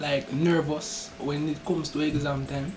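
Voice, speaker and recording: Noticeable background noise accompanies speech delivered at a fairly slow tempo. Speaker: YouTube interviewer. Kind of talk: interview questions.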